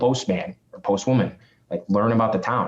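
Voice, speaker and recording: Speaking fairly quickly in a Chicago accent, a man keeps his intonation fairly even. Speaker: real estate agent and investor. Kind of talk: podcast interview. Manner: fast.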